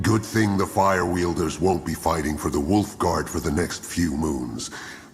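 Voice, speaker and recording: Clear music plays behind a man doing a put-on character voice. He speaks at a moderate pace in a very deep, low pitch. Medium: video game.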